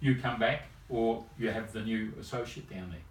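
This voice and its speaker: A somewhat breathy man with an Australian accent and audible room echo. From rural Australia. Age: 70s. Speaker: chiropractor. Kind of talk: interview. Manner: halting.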